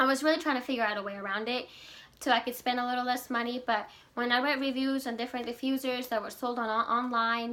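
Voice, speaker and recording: Her tone bright and sharp, a woman speaks at a high pitch. Her intonation is fairly even and her pace fairly quick. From Ecuador. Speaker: essential oils seller, social worker. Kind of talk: product demonstration vlog. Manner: casual, hesitant with fillers.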